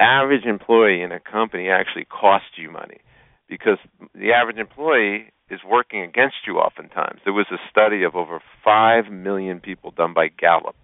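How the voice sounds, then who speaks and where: An unremarkable speaking voice at a fairly quick pace, with ordinary pitch variation and big swings in loudness. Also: man, fairly low pitch for a man. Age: 50s. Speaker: entrepreneur and business coach. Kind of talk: radio interview.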